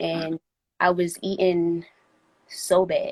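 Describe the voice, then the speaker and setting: A woman speaks in a normal speaking voice. Her intonation stays fairly even. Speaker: rapper. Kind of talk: live-stream interview. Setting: Instagram live stream.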